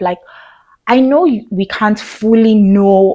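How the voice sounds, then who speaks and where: A woman's voice comes out shaky. She speaks at a very slow pace. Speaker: video blogger. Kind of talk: talking-head commentary.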